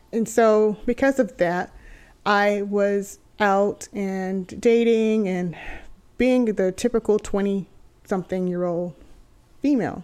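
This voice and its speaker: A woman with an American accent, medium pitch and fairly even intonation at a very slow pace, on a very clean recording with a silent background. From Texas. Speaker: podcast host. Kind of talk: personal testimony monologue.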